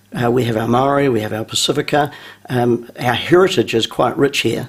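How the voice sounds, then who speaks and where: A man with a New Zealand accent talks in a medium pitch with ordinary pitch variation. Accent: New Zealand, kept intact. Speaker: business school founder. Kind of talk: radio interview.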